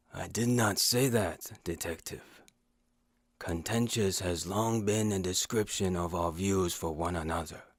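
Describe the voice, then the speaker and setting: A man puts on a character voice with a very deep, low pitch. He speaks at a moderate pace on a very clean recording with a silent background. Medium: audio drama. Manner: formal, measured.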